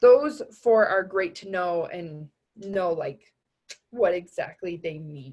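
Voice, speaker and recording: A somewhat breathy woman speaks at a very slow pace. Her pitch swings very widely. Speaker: anatomy tutor. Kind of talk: recorded review lecture. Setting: recording over tablet drawing.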